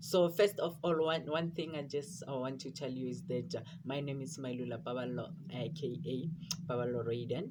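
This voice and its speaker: Somewhat breathy, this man speaks at a fairly high pitch. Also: ordinary pitch variation, moderate pace. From South Africa, rural area. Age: 20s. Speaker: vlogger. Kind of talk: casual personal vlog. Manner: halting, many fillers and repetitions.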